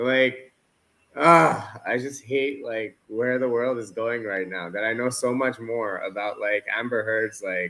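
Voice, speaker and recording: Using a Canadian accent, a man speaks at a fairly slow pace in a bright, sharp tone with medium pitch and ordinary pitch variation. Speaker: football watchalong co-host. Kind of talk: casual chat. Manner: animated.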